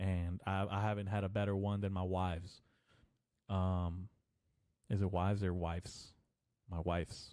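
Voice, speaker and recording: A man's fairly low voice, dark and mellow in tone, on a very clean recording with a silent background. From Mexican-American family, grew up speaking Spanish. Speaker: podcast host. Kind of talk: casual monologue. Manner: rambling casual, filler-heavy.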